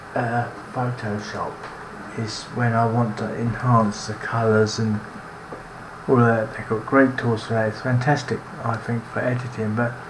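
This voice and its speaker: A man speaks at medium pitch and a fairly slow pace in a monotone with flat intonation. Noticeable background noise and audible room echo are present. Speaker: cartoonist. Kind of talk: tutorial narration. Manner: halting, with restarts.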